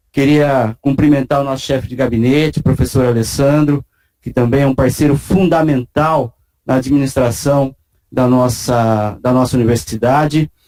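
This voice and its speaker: Medium in pitch with a dark, mellow tone, the man's voice moves at a moderate pace. His intonation is fairly even. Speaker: university vice-rector. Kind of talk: ceremonial speech. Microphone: speaking without a face mask.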